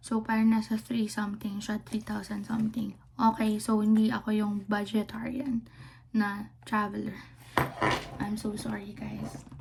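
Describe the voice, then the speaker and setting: A flat, monotone delivery at a fairly slow pace, with noticeable background noise. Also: woman, fairly high pitch for a woman. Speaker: travel vlogger. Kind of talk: casual vlog talk. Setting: Airbnb room. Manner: hushed, lowered voice; halting, many fillers.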